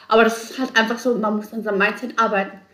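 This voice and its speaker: Delivery moves along fairly quickly. There is noticeable noise in the background. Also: woman. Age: 30s. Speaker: salesperson and student. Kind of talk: casual chat. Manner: animated.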